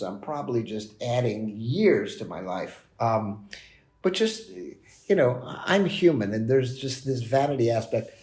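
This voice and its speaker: A man with a medium pitch speaks slowly, his voice dark, mellow and somewhat breathy. Audible room echo hangs around the sound, and the pace is fairly slow. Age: 60s. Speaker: business executive. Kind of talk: podcast interview. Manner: conversational, with fillers and repetitions.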